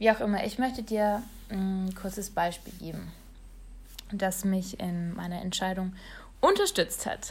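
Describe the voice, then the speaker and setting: A woman speaks at a medium pitch, somewhat breathy, with fairly even intonation. Her fairly slow delivery has long, frequent pauses. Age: 20s. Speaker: online marketer and blogger. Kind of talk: solo podcast monologue.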